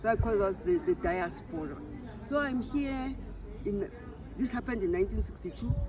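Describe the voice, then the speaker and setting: With crowd noise in the background and audible room echo, a woman speaks at a moderate pace with a fairly high pitch, very wide pitch swings, and long, frequent pauses. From South Africa and Swaziland. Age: 60s. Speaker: retired memoir author. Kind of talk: life story interview. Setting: library event. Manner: halting, repeats words.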